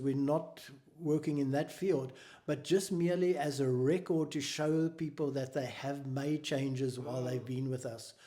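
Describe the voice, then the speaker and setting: A man's fairly high-pitched voice with a South African accent, dark and mellow in tone, with ordinary pitch variation. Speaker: mental health charity founder. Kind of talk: interview.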